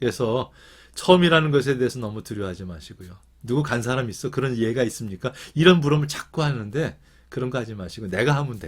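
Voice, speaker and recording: Somewhat breathy and very fast, the voice carries lively intonation with big swings in loudness. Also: man, medium pitch for a man. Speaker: professor. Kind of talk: lecture. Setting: video call. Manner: hesitant fillers.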